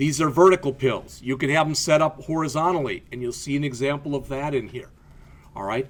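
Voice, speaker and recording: A man with an American accent talks at a fairly quick pace in a fairly high voice. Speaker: college instructor. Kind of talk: lecture. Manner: casual, conversational with frequent fillers.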